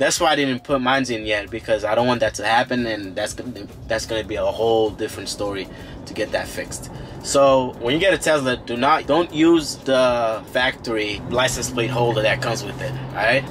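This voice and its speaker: Music plays in the background. A man talks at a moderate pace. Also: ordinary pitch variation. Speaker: car vlogger. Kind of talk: casual vlog chat. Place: car.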